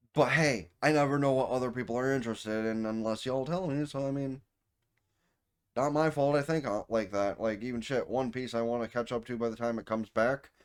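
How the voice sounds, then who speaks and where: Very clean and with a silent background, the recording captures a man with a plain, everyday voice talking at a fairly quick pace with ordinary pitch variation. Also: medium pitch for a man. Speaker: anime reviewer and streamer. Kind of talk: casual video outro.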